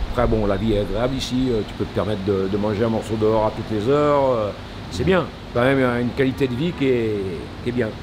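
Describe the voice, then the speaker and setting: Amid audible room echo and noticeable background noise, a man speaks fairly quickly at a medium pitch with ordinary pitch variation. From France. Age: 60s. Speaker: baker. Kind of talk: interview. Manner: halting, with many repetitions.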